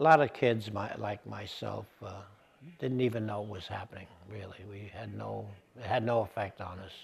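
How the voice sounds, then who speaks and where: A man with a fairly low pitch and vocal fry speaks at a moderate pace, with ordinary pitch variation and big swings in loudness. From New York City (Bronx). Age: 80s+. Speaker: interviewee recalling the Great Depression. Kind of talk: oral history interview. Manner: halting, many fillers.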